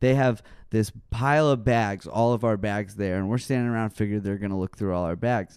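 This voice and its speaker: Speaking at a fairly quick pace, a man with an American accent has an unremarkable speaking voice. His pitch is fairly low, with ordinary variation. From Texas, Dallas. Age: 30s. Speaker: metal band musician. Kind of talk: casual chat. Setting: studio.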